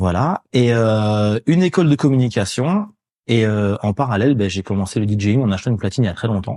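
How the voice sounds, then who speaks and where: With a quiet background, a man talks at a fairly quick pace in a fairly low voice with a dark, mellow tone and ordinary pitch variation. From Paris suburbs, France (Courbevoie). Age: 40s. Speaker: DJ. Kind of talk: casual chat.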